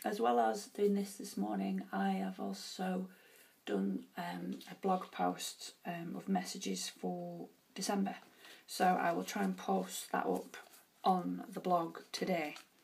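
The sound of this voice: A woman puts on a husky character voice. She delivers it at a fairly slow pace.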